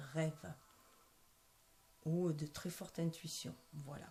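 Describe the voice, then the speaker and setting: Her intonation fairly even, a woman speaks at a very deep, low pitch. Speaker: tarot card reader. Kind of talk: tarot reading. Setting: at home at night. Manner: soft-spoken; hesitant, many fillers.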